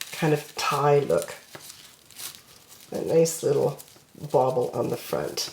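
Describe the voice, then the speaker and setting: With noticeable background noise, a woman speaks at a very slow pace. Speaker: crafting tutorial creator. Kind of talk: tutorial.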